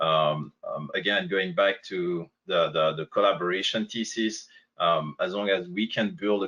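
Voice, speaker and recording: A man talks with a strong French accent. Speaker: company representative on a panel. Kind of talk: webinar Q&A panel. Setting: online webinar. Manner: halting, many fillers.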